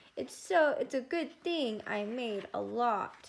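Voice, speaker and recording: The pace is fairly slow. A woman puts on a character voice pitched high. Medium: read story. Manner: warm.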